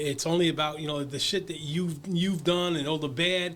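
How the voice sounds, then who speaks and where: A high-pitched man with a New York accent at a fairly quick pace. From Brooklyn, New York. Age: 70s. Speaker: recovery advocate. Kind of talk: casual interview. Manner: halting, many repeated words.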